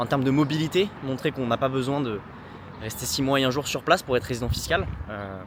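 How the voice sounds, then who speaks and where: At a fairly quick tempo, a man's pitch shifts in a normal way over clearly audible background noise. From southern France, Nice. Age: 20s. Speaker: entrepreneur vlogger. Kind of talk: casual vlog talk to camera. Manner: hesitant, many filler sounds.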